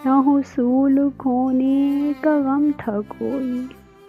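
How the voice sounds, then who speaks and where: A woman speaks with a high pitch. Music plays in the background. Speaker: poetry reader. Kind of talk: Urdu poetry reading.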